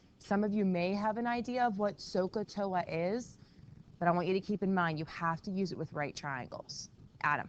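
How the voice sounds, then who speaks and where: At a moderate pace, a woman speaks quietly in a medium pitch with ordinary pitch variation. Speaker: math teacher. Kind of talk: classroom lesson. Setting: classroom.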